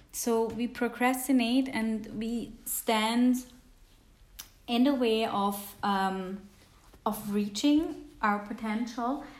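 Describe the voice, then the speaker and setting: Long, frequent pauses break up very slow speech with fairly even intonation, and the room echo is audible. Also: woman. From Switzerland. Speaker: podcast host. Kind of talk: casual self-help monologue. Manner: hesitant, with many fillers.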